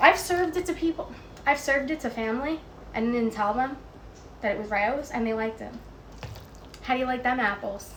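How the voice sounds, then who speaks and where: The speech has a New York accent, a fairly quick pace and ordinary pitch variation. Noticeable background noise and audible room echo are present. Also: woman. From New York City (Queens). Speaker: home cooking streamer. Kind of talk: casual chat while cooking. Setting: Instagram live stream at home.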